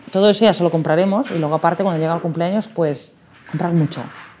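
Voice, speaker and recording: A woman's plain, everyday voice, fairly low in pitch, with fairly even intonation over light background noise. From Spain. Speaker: toy shop owner; interviewee. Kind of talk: interview. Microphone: lapel.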